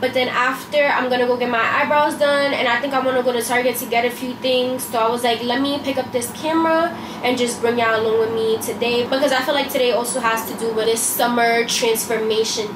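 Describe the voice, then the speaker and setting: Over noticeable background noise, a woman talks very fast at a high pitch, with monotone, flat intonation and hardly any pauses. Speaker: beauty vlogger. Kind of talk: casual vlog chat. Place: kitchen. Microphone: camera far.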